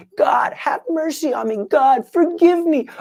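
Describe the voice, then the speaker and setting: A put-on character voice, high and shrill. It moves at a fairly slow pace. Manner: mocking repetition of a prayer.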